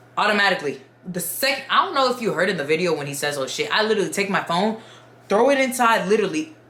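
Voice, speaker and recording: Very fast and swinging very widely in pitch, a woman speaks at a medium pitch amid audible room echo and noticeable background noise. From Dominican Republic. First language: Spanish. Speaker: YouTuber storyteller. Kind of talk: casual storytime. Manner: animated.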